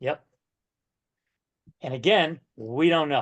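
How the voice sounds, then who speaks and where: Recorded with a dry, close sound with no echo and a quiet background, a man with a New England accent talks at a fairly slow pace, using a fairly high pitch and ordinary pitch variation. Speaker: real estate coach. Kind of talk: coaching session.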